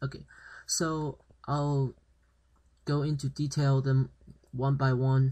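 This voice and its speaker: A man's medium-pitched, somewhat breathy voice, monotone and flat, at a very slow pace. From China. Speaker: language teacher. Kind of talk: tutorial. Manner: halting, many fillers.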